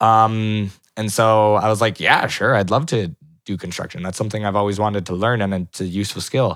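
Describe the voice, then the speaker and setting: In a very clean recording with a silent background, a man speaks at a fairly quick pace with fairly even intonation. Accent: Canadian. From Vancouver area, Canada. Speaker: parkour gym co-owner. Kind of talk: casual interview.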